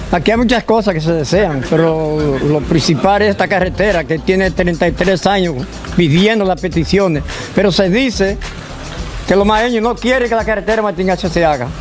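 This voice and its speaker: This man's pitch is high for a man, with ordinary pitch variation. He speaks at a moderate pace over noticeable background noise. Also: very even loudness. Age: 70s. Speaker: local resident. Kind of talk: street interview.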